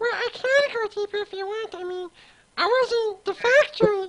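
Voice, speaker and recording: Putting on a squeaky character voice at an extremely high pitch, a woman speaks at a moderate pace with big swings in loudness. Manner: playful.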